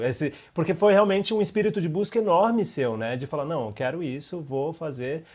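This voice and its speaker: A man speaks in an ordinary speaking voice. His pace is fairly quick and his intonation lively. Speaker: podcast host, actor. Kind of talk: podcast interview questions.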